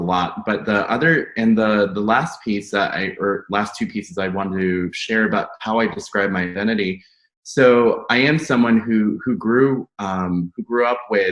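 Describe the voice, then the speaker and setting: In a plain, everyday voice, a man with an American accent speaks at a moderate pace, fairly low in pitch with ordinary pitch variation. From United States. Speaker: academic panelist. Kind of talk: panel discussion.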